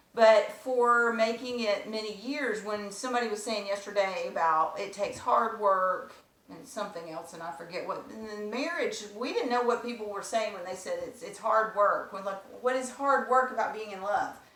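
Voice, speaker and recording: Amid noticeable background noise and audible room echo, a woman speaks fairly high at a moderate pace with hardly any pauses, ordinary pitch variation and big swings in loudness. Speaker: wife sharing marriage advice. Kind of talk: casual chat.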